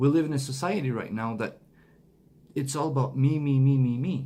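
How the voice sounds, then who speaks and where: Moderate pace, a non-native accent and ordinary pitch variation, with audible room echo. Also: man. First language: not English. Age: 40s. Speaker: motivational speaker. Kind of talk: motivational monologue. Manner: halting.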